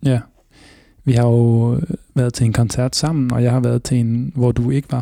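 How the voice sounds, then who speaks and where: A dark, mellow tone at a moderate pace, with very even loudness, monotone, flat intonation and long, frequent pauses. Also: man, medium pitch for a man. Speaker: radio host. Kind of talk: casual chat.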